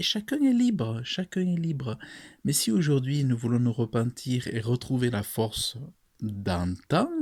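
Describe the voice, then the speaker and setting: A man's medium-pitched, somewhat breathy voice at a very slow pace with very wide pitch swings, on a very clean recording with a silent background. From France. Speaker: preacher. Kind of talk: sermon to camera.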